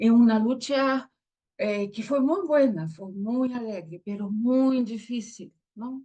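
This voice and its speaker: A somewhat breathy woman with a Brazilian accent, fairly even intonation, and a very slow pace. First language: Portuguese (speaking Spanish). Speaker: theologian and pastor. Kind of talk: interview. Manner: halting.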